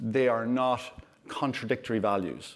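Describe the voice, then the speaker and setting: A man speaks with an Irish accent. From Ireland. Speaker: LGBT rights campaign director. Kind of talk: panel interview.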